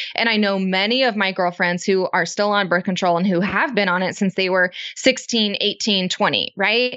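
A woman speaks at a moderate pace in a normal speaking voice, her pitch medium and her intonation fairly even. Her loudness stays very even, with hardly any pauses. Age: 20s. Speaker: business co-founder. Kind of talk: interview conversation.

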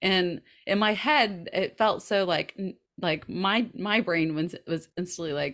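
With a Southern US accent, a woman talks fairly slowly at a medium pitch on a very clean recording with a silent background. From US South. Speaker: podcast co-host. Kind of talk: casual chat.

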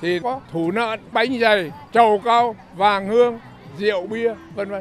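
Noticeable background noise sits behind a man whose voice is high in pitch, with ordinary pitch variation. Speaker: festival organizer. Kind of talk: interview statement in news report.

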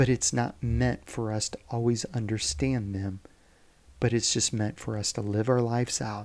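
A man with a normal speaking voice at medium pitch, ordinary pitch variation and moderate pace. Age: 40s. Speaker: devotional preacher. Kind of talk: daily devotional talk. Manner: informal.

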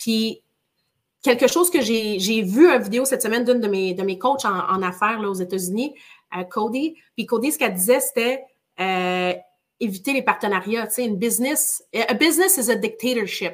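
Energetic in tone, a woman speaks at a moderate pace and a fairly high pitch. Her intonation is lively, broken by long, frequent pauses. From northern Quebec (Chibougamau). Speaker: real estate entrepreneur. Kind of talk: interview. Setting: live stream.

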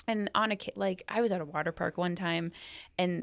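A woman with a plain, everyday voice speaks at a fairly quick pace, with fairly low pitch and fairly even intonation. The recording is very clean and dry, close and free of echo, with a silent background. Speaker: podcast host and therapist. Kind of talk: casual professional discussion.

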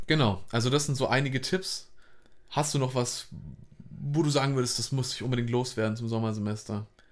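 At a fairly quick pace broken by long, frequent pauses, a man speaks at a medium pitch with ordinary pitch variation. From northern Germany, Hamburg. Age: 20s. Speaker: student podcast co-host. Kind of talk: casual chat.

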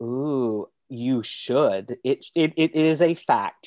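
A man's voice with a dark, mellow tone, ordinary pitch variation, and a dry, close sound with no echo. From Kentucky. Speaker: choreographer and director. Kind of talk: casual chat. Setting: video call.

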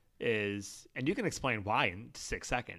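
In an American accent, the voice has a bright, sharp tone on a very clean recording with a silent background. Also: man. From Toledo, Ohio, US Midwest. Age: 30s. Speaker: warehouse operations manager, former teacher. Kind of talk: casual interview.

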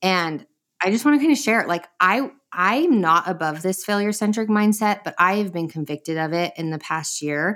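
Using lively intonation, a woman with an unremarkable speaking voice and a medium pitch talks at a moderate pace. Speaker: podcast co-host. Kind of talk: casual interview chat.

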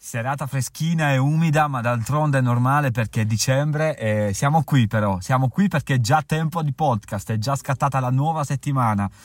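A man speaks at a medium pitch with ordinary pitch variation, recorded with a dry, close sound and no echo. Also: moderate pace. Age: 30s. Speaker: travel podcaster and author. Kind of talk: casual podcast monologue. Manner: halting.

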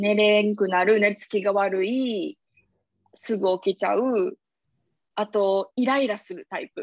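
Speaking in a Kansai accent, a woman uses a medium pitch and fairly even intonation. Her pace is fairly slow and her loudness swings a lot. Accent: Kansai (Osaka) dialect. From Osaka, Japan. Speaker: yogi and podcast co-host. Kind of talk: casual chat.

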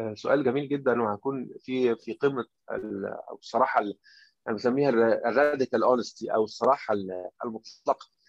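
A man with an Egyptian accent talks at a moderate pace and with fairly even intonation, and the sound is dry and close with no echo. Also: medium pitch for a man. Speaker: doctor and author. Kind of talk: interview.

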